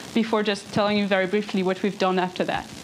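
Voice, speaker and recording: Amid noticeable background noise, a woman with a French accent talks at a very fast pace. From France. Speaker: engineer giving a talk. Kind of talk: lecture. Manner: halting.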